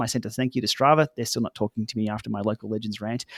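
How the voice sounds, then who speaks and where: The sound is dry and close with no echo. A man with an Australian accent talks at a very fast pace. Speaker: cycling tech YouTuber. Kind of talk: podcast interview. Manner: casual, many fillers.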